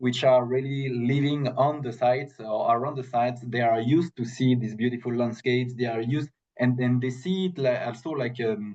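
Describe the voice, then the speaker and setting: Speaking at a moderate pace with hardly any pauses, a man with a French accent keeps his medium-pitched voice fairly even. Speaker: protected area specialist. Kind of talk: webinar Q&A answer. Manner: halting, many fillers and repetitions.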